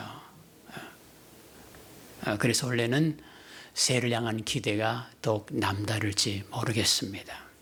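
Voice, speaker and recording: Using an ordinary speaking voice, a man talks at a fairly slow pace with a medium pitch and fairly even intonation. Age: 60s. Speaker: retired pastor, guest preacher. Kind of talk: sermon. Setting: church.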